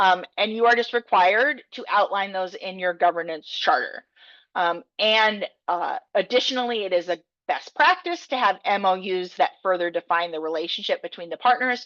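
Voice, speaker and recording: Recorded with a dry, close sound and no echo over a quiet background, a woman speaks at a medium pitch with ordinary pitch variation. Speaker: technical assistance provider. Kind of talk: training presentation. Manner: fast.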